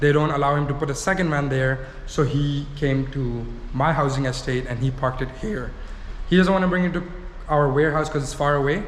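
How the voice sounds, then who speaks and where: Amid noticeable background noise and audible room echo, a man with a fairly high pitch speaks at a very fast pace with ordinary pitch variation. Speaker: vlogger / prank YouTuber. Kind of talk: casual vlog chat. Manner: animated.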